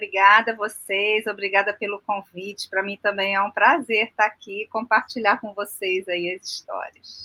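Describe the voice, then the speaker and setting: A woman's bright, sharp voice comes through dry and close with no echo, monotone and flat in intonation yet with big swings in loudness. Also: medium pitch for a woman, moderate pace, hardly any pauses. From Rio de Janeiro, Brazil. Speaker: aquaculture farmer and designer. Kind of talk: podcast interview.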